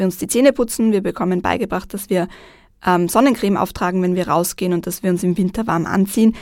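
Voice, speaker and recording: A woman talks very fast on a very clean recording with a silent background. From Vienna, Austria. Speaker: journalist and TV presenter. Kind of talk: radio interview.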